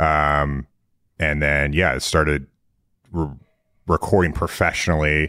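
A man speaks in a very deep, low pitch with a monotone, flat intonation. His tone is bright and sharp. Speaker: musician and producer. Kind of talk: casual interview chat. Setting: remote video call.

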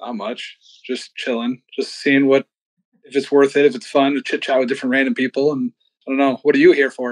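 A man's fairly high voice, an unremarkable speaking voice, dry and close with no echo, at a fairly quick pace with fairly even intonation. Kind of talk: casual chat. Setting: video chat with a stranger.

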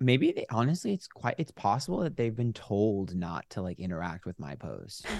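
His medium-pitched voice swings very widely as the man talks at a moderate pace with hardly any pauses, in a dry, close sound with no echo. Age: 30s. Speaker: tarot reader and YouTuber. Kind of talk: casual chat.

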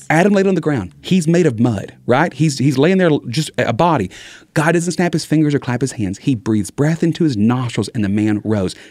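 Speaking in a Texas accent at a fairly quick pace, a man with a fairly high pitch uses lively intonation while keeping his loudness very even. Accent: Southern US (Texas). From Southeast Texas. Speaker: evangelist speaker, former youth minister. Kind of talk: casual chat. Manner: fast talker; mumbles sometimes.

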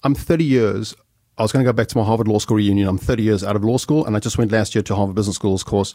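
A man speaks at a very fast pace, keeping his loudness very even. His tone is dark and mellow, his pitch fairly low with ordinary variation. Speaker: podcast host, speaker. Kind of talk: interview, casual chat. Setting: studio.

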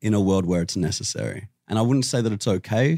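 With an Australian accent, a man speaks in a dark, mellow tone, recorded very cleanly against a silent background with a dry, close sound and no echo. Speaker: vegan activist. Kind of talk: heated debate. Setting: studio.

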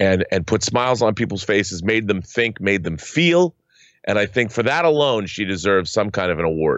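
An unremarkable speaking voice from a man, fairly low in pitch, at a fairly quick pace with lively intonation. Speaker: co-host. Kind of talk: casual chat.

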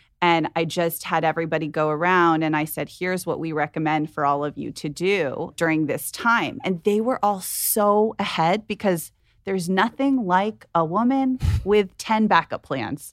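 In an ordinary speaking voice, a woman talks at a moderate pace with a fairly low pitch and lively intonation. The recording is very clean, with a silent background. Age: 40s. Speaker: venture capitalist. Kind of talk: casual chat. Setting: studio.

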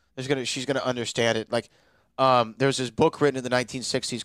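The man's tone is playful, though his intonation stays monotone and flat at a medium pitch. The recording is very clean, with a silent background and a dry, close sound with no echo. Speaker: trivia show host. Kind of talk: casual banter, show recap. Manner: joking, playful.

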